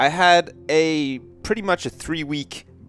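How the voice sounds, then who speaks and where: Music plays in the background as a man speaks. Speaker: gaming commentator. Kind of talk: let's play commentary. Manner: casual, humorous.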